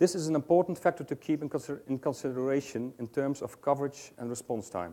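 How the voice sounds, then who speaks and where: With a Dutch accent, a man speaks very fast with hardly any pauses, his fairly high voice dark and mellow in tone. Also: ordinary pitch variation. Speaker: ambulance service researcher. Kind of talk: conference presentation read from script. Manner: halting.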